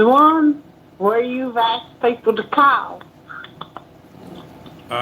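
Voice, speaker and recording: A woman's high-pitched, very slow voice with an Alabama accent and fairly even intonation, over noticeable background noise. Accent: Southern US, Alabama-sounding. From Louisiana. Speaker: caller. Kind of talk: casual, rural Southern dialect. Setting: phone.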